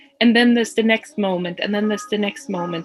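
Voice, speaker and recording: A woman of medium pitch with ordinary pitch variation, music playing in the background. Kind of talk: podcast conversation.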